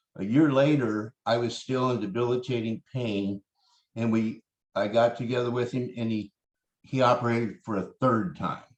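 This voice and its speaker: At a moderate pace, a man with a normal speaking voice talks at medium pitch with fairly even intonation. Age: 60s. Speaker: chronic pain recovery storyteller. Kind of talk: interview testimony.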